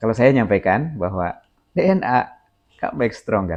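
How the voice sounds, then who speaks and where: A man talks with a Sundanese accent at a medium pitch. His intonation is lively. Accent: Sundanese-accented Indonesian. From Sundanese, West Java, Indonesia. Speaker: spiritual teacher. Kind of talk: spiritual instruction. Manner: slow, deliberate.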